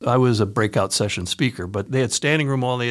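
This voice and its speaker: This man speaks very fast in a Midwestern American accent, at a medium pitch with fairly even intonation. The recording is very clean, with a silent background. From central Ohio, US. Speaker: sales trainer and author. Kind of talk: casual interview.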